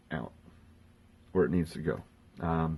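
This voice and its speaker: Soft-spoken and dark, mellow in tone, this man talks in a very deep, low register. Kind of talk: instructional talk to camera.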